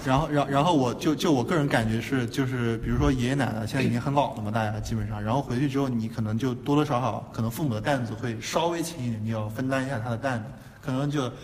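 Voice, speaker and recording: A man's medium-pitched voice at a very fast pace with hardly any pauses and ordinary pitch variation, amid noticeable background noise and audible room echo. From Qingdao, northern China. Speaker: podcast co-host, design graduate student. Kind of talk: casual chat. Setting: university classroom.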